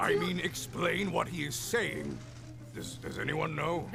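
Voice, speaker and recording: A man in a put-on character voice talks at a fairly slow pace over loud music in the background. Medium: machinima. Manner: pompous, booming and self-important.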